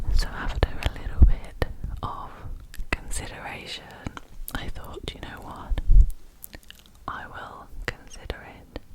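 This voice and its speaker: With long, frequent pauses, the speech is whispered at a fairly slow pace. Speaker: scientist with a PhD. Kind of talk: ASMR whisper ramble. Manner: whispered, soft-spoken.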